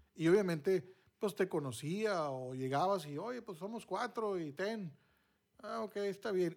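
Lively in intonation, a man speaks with a high pitch. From northern Mexico, Monterrey. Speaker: podcast host, former radio announcer. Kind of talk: casual chat.

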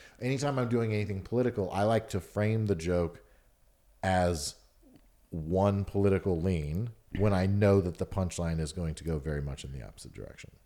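A fairly quick delivery in an American accent, dark and mellow in tone, with big swings in loudness. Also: man, very deep, low pitch for a man, ordinary pitch variation, very clean recording, silent background. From Atlanta, US South. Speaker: stand-up comedian. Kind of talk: casual chat.

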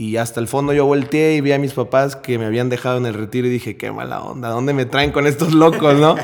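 This man talks at a very fast pace with hardly any pauses. His pitch sits in the medium range. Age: 20s. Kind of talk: faith testimony in casual interview.

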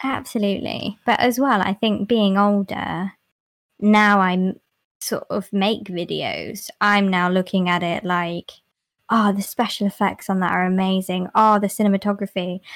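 A woman with a plain, everyday voice talks at a fairly slow pace, her medium pitch held in fairly even intonation. The sound is dry and close, with no echo. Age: 20s. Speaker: ASMR YouTuber and cosplayer. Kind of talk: casual chat.

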